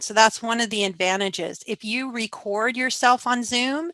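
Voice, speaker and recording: In a plain, everyday voice, a woman speaks at a moderate pace with a fairly high pitch and ordinary pitch variation. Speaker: workshop facilitator. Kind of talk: virtual workshop presentation. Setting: video call.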